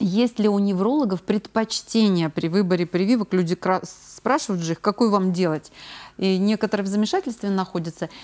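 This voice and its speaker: Ordinary pitch variation marks speech delivered at a fairly quick pace. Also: woman, medium pitch for a woman. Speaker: TV presenter. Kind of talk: live TV health call-in show. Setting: TV studio. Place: studio. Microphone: lapel.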